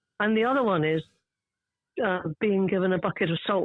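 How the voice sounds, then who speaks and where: A woman with a southern English accent speaks at a fairly quick pace and a medium pitch, using ordinary pitch variation. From southern England (suburban London). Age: 70s. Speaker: garden writer. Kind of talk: interview.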